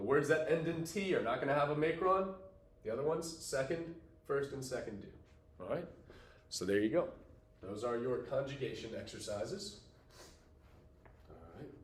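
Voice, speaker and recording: A man's fairly high voice, lively in intonation at a moderate pace with long, frequent pauses, amid audible room echo and noticeable background noise. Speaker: teacher. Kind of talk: tutorial.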